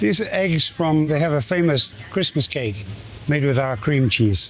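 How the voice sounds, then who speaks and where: With a British accent, the voice moves at a fairly slow pace with lively intonation and very even loudness. Noticeable background noise sits underneath. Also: man, fairly high pitch for a man. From United Kingdom. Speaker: cheesemaker. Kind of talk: interview answer.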